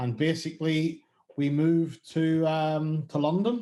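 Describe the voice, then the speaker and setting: A man speaks with a strong Northern Irish accent. His voice is fairly high in pitch with a dark, mellow tone. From Northern Ireland. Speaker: music booking agent. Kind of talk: interview. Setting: video call. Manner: halting.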